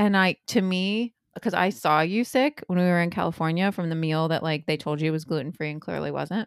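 A woman with an unremarkable speaking voice and an American accent, fairly low in pitch, at a fairly quick pace with hardly any pauses and ordinary pitch variation. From Indiana. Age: 30s. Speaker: podcast co-host. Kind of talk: casual chat. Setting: in person.

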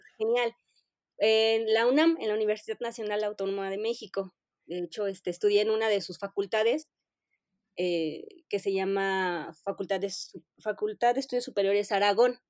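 In a dry, close sound with no echo, a woman speaks at a moderate pace and medium pitch with ordinary pitch variation. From Mexico City. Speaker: information architect. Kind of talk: interview. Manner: hesitant, many fillers.

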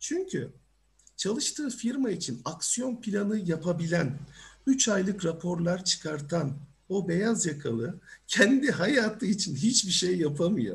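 A man talks fairly slowly, his high-pitched voice carrying lively intonation. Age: 40s. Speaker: career coach. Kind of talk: online seminar talk. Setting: video call.

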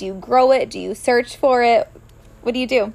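In a plain, everyday voice, a woman speaks at a moderate pace with fairly high pitch. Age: 30s. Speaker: podcast host and coach. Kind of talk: casual interview chat.

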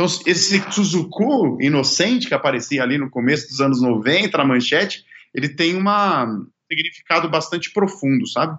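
An ordinary speaking voice from a man, fairly high in pitch, with lively intonation at a moderate pace. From Brazil. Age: 30s. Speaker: singer and songwriter. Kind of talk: casual interview.

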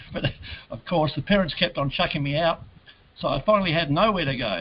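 Lively intonation in an Australian accent, with noticeable background noise. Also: man. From Adelaide, South Australia. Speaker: entrepreneur. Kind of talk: interview. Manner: casual.

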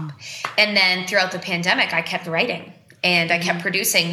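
A woman with an American accent talks fairly quickly at a fairly low pitch and monotone, flat intonation, with audible room echo and noticeable background noise. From Boston, Massachusetts. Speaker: singer-songwriter. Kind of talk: casual interview chat.

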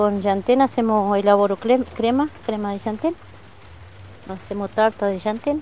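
A woman talks at a fairly slow pace in a fairly high voice. Her pitch variation is ordinary, and noticeable background noise is present. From Argentina, Neuquén, Mapuche community of Ruca Choroi. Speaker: vegetable grower and Mapuche language teacher. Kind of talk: interview testimony. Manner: halting.

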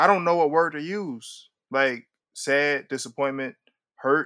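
A man's bright, sharp tone at a fairly slow pace, in a very clean recording with a silent background. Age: 40s. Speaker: writer and director. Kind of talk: casual interview.

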